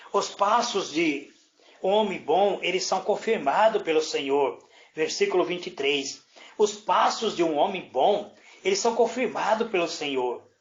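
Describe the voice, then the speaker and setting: Audible room echo surrounds a man with a high pitch. He talks at a fairly slow pace with ordinary pitch variation. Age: 60s. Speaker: presbyter / preacher. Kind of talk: sermon. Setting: indoors, prayer group room.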